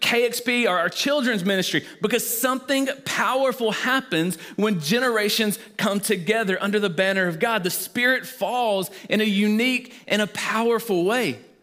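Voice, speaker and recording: A raised, projected voice with a Southern US accent moves at a moderate pace. Noticeable background noise sits behind it. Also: man. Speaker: pastor. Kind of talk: sermon. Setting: church.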